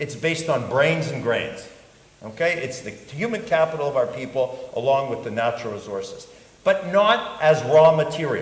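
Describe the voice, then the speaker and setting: With lively intonation and a fairly high pitch, a man talks at a moderate pace amid audible room echo and noticeable background noise. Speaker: government investment promotion official. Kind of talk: panel talk. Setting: stage with audience. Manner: halting, with many false starts; animated.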